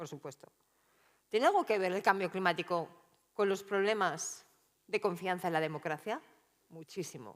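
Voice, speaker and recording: A woman at a medium pitch with ordinary pitch variation, long and frequent pauses, big swings in loudness, and a very clean recording over a silent background. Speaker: political analyst and researcher. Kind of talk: keynote talk. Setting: conference stage with audience. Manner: fast.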